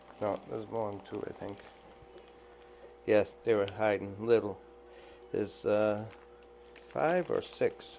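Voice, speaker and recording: With an American accent, a man speaks at a fairly slow pace, leaving long, frequent pauses, his loudness swinging widely over noticeable background noise. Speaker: aquarium fish hobbyist. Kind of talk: unboxing commentary. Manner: casual, halting.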